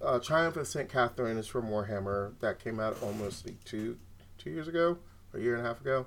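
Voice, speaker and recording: A man with a normal speaking voice, medium pitch, lively intonation and a fairly quick pace. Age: 30s. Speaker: card game champion. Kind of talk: casual chat.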